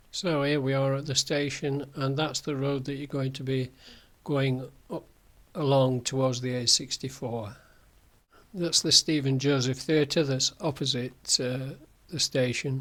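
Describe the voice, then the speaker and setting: Fairly even intonation runs through this man's fairly high-pitched voice with a Yorkshire accent. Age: 70s. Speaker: walking guide vlogger. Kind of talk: narrated slideshow tutorial. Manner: hesitant, many fillers.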